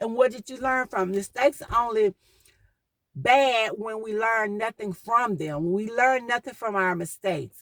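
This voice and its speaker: Fairly high-pitched woman at a moderate pace, ordinary pitch variation, dry and close sound with no echo. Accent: Southern. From US South. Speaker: podcast host. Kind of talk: motivational talk.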